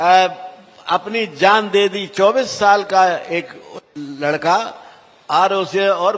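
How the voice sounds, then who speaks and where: Against noticeable background noise, a man with a high pitch talks with ordinary pitch variation. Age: 80s+. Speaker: politician. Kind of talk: political speech.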